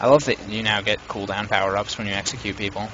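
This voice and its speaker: Noticeable background noise sits behind a man talking at a moderate pace with fairly even intonation. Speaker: game shoutcaster. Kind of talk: live game commentary. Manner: casual, chatty.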